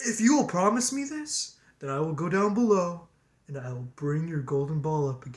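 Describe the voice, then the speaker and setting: A put-on character voice at a middle pitch. It moves at a moderate pace. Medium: read story.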